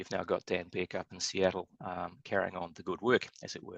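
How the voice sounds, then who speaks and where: A man is speaking. He has a New Zealand accent. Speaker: structural engineer. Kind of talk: webinar presentation. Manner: fast.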